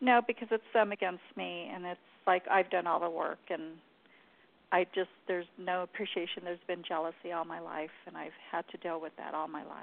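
A woman with a plain, everyday voice and an American accent talks at a fairly quick pace in a fairly low pitch, her intonation fairly even but her loudness swinging widely. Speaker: caller. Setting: phone call.

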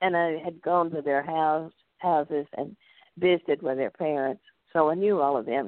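A woman with a Southern US accent and a very deep, low pitch. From US South, North Louisiana. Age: 80s. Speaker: retired school principal. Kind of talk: interview.

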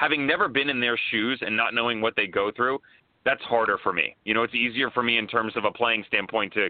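A man with an American accent and an unremarkable speaking voice, medium in pitch, with ordinary pitch variation at a fairly quick pace. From United States. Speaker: soccer analyst. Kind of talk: casual chat.

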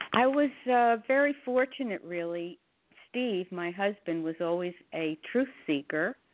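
At a fairly slow pace, a woman of medium pitch talks with very wide pitch swings. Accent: American. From northern New Jersey. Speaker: religious book reader. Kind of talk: interview.

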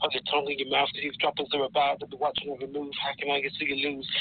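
Speaking very fast with a Birmingham accent, a man keeps a fairly high pitch and a flat, monotone delivery. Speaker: rapper. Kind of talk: casual chat. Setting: phone call.

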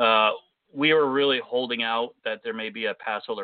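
A man with an unremarkable speaking voice, fairly quick pace and fairly even intonation. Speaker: radio host. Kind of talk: solo podcast rant and news update. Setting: online radio show. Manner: casual, conversational.

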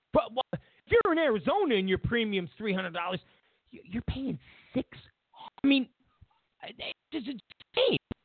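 A man speaks at an extremely high pitch with big pitch swings and a slightly husky edge. His pace is fairly slow with long, frequent pauses, and the sound is dry and close with no echo.

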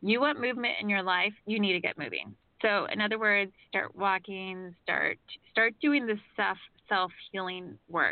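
An ordinary speaking voice from a woman, medium in pitch, with ordinary pitch variation. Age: 40s. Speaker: radio host and psychic reader. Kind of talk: call-in radio show with spiritual readings.

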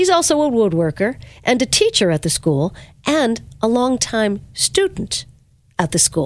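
On a very clean recording with a silent background, a woman with a fairly high pitch speaks at a fairly slow pace in an upbeat tone, her pitch swinging very widely while her loudness stays very even. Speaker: radio host. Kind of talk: radio interview.

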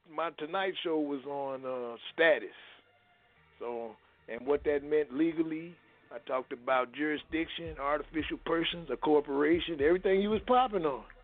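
A man speaks at a moderate pace. Music can be heard in the background. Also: fairly high pitch for a man, ordinary pitch variation. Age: 60s. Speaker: caller. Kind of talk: phone-in conversation.

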